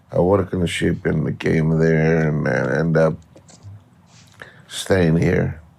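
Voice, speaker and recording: Over noticeable background noise, a man with a very deep, low pitch speaks very slowly in a flat monotone, leaving long, frequent pauses. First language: Greek. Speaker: professional gambler. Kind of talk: interview. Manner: halting.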